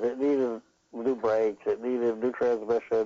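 An unremarkable speaking voice at a moderate pace. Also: man. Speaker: basketball coach. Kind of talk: casual chat. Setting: phone call.

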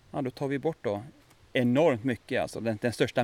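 A man speaks in an ordinary speaking voice at a medium pitch, with ordinary pitch variation. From Västergötland, Sweden. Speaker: forest biologist. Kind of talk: guided nature walk explanation. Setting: outdoors in forest.

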